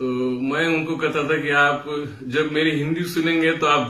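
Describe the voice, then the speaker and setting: A man speaks with a Marathi accent. The room echo is audible. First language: Marathi (speaking Hindi). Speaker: music teacher. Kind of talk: tutorial. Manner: hesitant with fillers.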